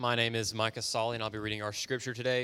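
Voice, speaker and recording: A man talks at a medium pitch and a fairly quick pace, his intonation monotone and flat. The tone is bright and sharp, on a very clean recording with a silent background. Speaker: scripture reader. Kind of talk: reading aloud. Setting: church.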